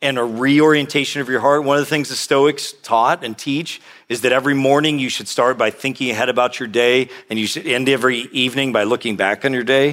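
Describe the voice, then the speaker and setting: A man speaks in a plain, everyday voice at a medium pitch and a fairly quick pace, with fairly even intonation. The recording is very clean, with a silent background. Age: 50s. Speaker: pastor. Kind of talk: sermon.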